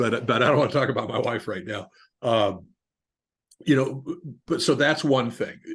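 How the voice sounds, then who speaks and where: Somewhat breathy speech at a moderate pace, with long, frequent pauses and ordinary pitch variation. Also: man, medium pitch for a man. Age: 60s. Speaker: business owner. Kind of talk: interview.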